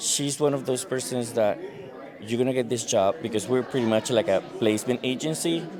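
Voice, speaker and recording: A man with a Spanish accent speaks at a fairly quick pace and medium pitch. His pitch varies in an ordinary way, with noticeable background noise. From Venezuela. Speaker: recruiter. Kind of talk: street interview. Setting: conference.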